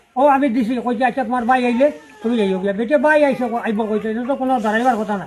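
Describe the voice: This man's pitch is extremely high. He talks at a very fast pace with ordinary pitch variation.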